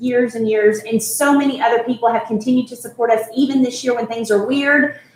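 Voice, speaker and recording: Over noticeable background noise, a woman with a fairly high pitch speaks at a moderate pace in a flat monotone. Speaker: charity event host. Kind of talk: live-streamed charity event presentation. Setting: resort venue, live stream.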